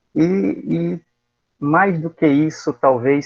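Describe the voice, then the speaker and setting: A man talks with ordinary pitch variation. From Pernambuco, Brazilian Northeast. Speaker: university professor, thesis examiner. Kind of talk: academic thesis defense feedback. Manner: hesitant, many fillers and repetitions.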